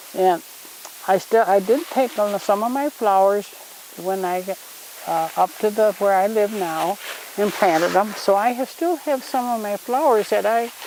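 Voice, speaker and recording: Over noticeable background noise, a woman speaks at a moderate pace and medium pitch with lively intonation. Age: 80s+. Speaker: grandmother teaching children about wildflowers. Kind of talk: casual teaching talk to children. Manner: halting, with many restarts.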